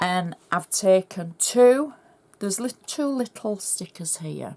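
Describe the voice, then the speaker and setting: This woman talks very slowly. Lively intonation runs through her speech. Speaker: craft demonstrator. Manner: chatty, instructional.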